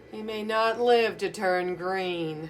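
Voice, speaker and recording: Over clear background noise, a female-sounding voice at medium pitch does a put-on character voice with a rumbling quality. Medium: read story. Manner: grumbling.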